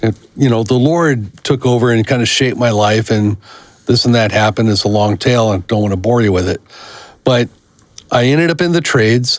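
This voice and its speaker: A man's normal speaking voice at medium pitch, with ordinary pitch variation, a fairly quick pace and very even loudness. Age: 60s. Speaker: podcast co-host. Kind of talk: casual chat.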